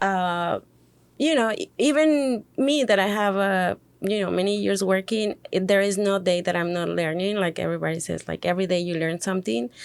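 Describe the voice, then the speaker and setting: A woman with a Spanish accent speaks at a medium pitch and moderate pace. Her intonation is lively, on a very clean recording with a silent background. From Mexico City. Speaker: podcast co-host, hospitality worker. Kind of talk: casual podcast chat. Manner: halting, many fillers.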